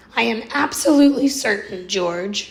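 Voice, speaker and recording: A woman puts on a raspy character voice with a fairly high pitch, keeping a moderate pace. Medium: read story. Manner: warm, reassuring.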